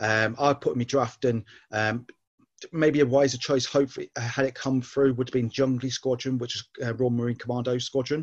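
Monotone, flat intonation at a fairly quick pace. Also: man, medium pitch for a man. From southern England. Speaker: author and ex-Navy man. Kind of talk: casual interview chat.

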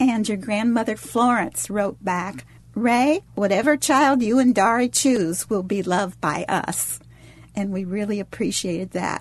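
This woman talks at a fairly slow pace with lively intonation. Her voice is somewhat breathy and medium in pitch. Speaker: adoptive mother. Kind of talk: personal conversation.

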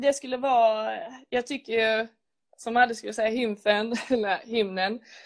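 Against a quiet background, a woman talks at a moderate pace with fairly high pitch. Her intonation is monotone and flat. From Skåne, Sweden. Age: 20s. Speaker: footballer. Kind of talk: casual interview.

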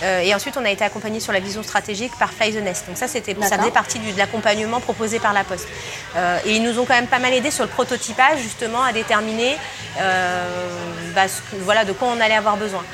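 Music plays in the background as a woman talks at a very fast pace. Her pitch is fairly high and her intonation fairly even. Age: 30s. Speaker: startup founder. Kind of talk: interview.

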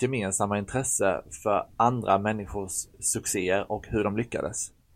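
A normal speaking voice from a man, fairly low in pitch, with fairly even intonation at a moderate pace, in a very clean recording with a silent background. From Sweden, Blekinge. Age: 30s. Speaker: podcast co-host. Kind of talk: scripted podcast intro.

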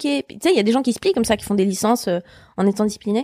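Dry and close with no echo, a woman's fairly high-pitched voice shows ordinary pitch variation on a very clean recording with a silent background. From Switzerland. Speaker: comedian. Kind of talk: casual chat.

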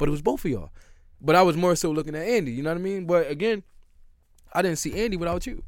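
A man with an American accent talks at a very fast pace yet leaves long, frequent pauses. His pitch is high with ordinary variation, and audible room echo is present. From US Northeast, Philadelphia. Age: 30s. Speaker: former pro basketball player. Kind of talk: casual chat.

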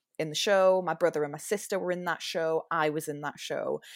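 A woman with a Geordie accent speaks with fairly even intonation in a very clean recording with a silent background. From Newcastle, northern England. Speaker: musical theatre performer. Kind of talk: casual podcast interview.

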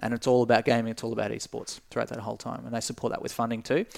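With an Australian accent, a man speaks at a medium pitch in a monotone, flat intonation with vocal fry, the sound dry and close with no echo. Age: 20s. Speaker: esports company director. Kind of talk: casual interview chat.

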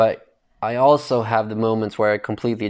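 A man in a normal speaking voice talks at a fairly quick pace and a fairly low pitch with fairly even intonation over a quiet background. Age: 20s. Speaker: podcast host. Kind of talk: casual solo monologue.

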